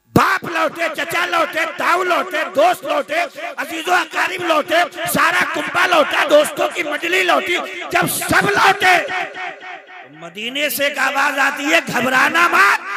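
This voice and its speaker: Over crowd noise in the background, a man with an extremely high voice speaks in a raised, projected voice with ordinary pitch variation. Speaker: Islamic preacher giving a sermon. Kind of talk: Islamic sermon (taqreer) delivered to a live audience. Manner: humorous, emotional, preaching.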